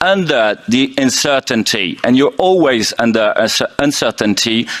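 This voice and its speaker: A man speaks with a French accent. There is noticeable background noise. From France. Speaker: intensive care doctor. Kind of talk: conference presentation. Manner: halting, many fillers.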